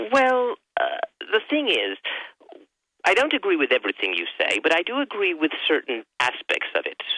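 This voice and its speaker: With an English accent, a man speaks with long, frequent pauses. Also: moderate pace. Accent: English accent, noticeable. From southern England, Sussex. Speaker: caller. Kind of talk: radio call-in. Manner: halting.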